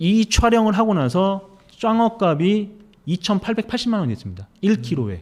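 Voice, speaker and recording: This man's high voice moves at a moderate pace with lively intonation. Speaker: investigative reporter. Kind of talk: interview. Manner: forceful, strong pronunciation.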